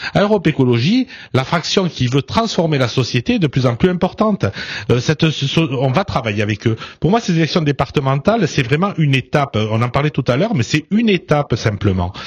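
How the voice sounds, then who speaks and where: Recorded with a dry, close sound and no echo, a man talks at a fairly quick pace and fairly high pitch, swinging very widely in pitch while his loudness stays very even. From southern France. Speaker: politician. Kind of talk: radio interview. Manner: loud, forceful; hesitant, many fillers.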